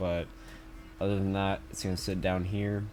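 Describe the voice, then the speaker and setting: Noticeable background noise behind a fairly low male voice at a moderate speed. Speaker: gaming content creator. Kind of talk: casual commentary tier list. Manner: casual, filler-heavy.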